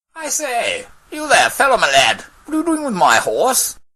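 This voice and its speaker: Someone uses a put-on, high-pitched character voice at a moderate pace. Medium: stage play. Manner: posh, uses 'one'.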